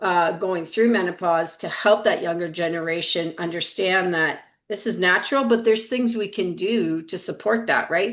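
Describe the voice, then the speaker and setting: A woman's ordinary speaking voice at medium pitch, moderate in pace, with ordinary pitch variation. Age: 60s. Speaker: health and wellness coach. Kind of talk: casual chat.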